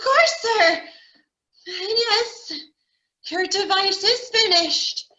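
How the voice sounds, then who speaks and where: A put-on character voice at an extremely high pitch goes at a very slow pace with long, frequent pauses and a slight echo. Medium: stage play. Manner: meek, deferential.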